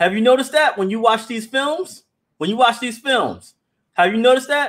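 Against a quiet background, the man's intonation is lively. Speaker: livestream host. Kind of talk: livestream commentary reading chat comments. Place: home room.

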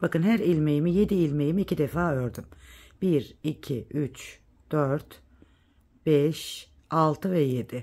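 A woman speaks very slowly in a very deep, low voice. Her tone is dark and mellow, with ordinary pitch variation. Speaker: knitting tutorial youtuber. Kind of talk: tutorial. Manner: counting stitches aloud.

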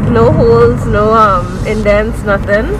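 Music plays in the background. The sound is dry, with no echo. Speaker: vlogger. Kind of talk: casual vlog chat. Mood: cheerful, playful. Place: car. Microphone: phone near.

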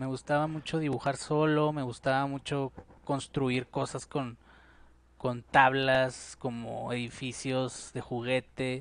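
A man speaks very slowly in a monotone, flat intonation at medium pitch. The sound is dry, with no echo. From Mexico, Parral, Chihuahua; Chihuahua, Mexico. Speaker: painter and musician; interviewee. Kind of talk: casual interview. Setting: at his home. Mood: calm, reflective. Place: home room. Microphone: headset.

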